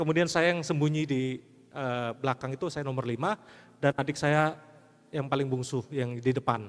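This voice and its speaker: With an unremarkable speaking voice, a man talks at a moderate pace with a fairly high pitch and ordinary pitch variation. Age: 50s. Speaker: pastor. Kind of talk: sermon.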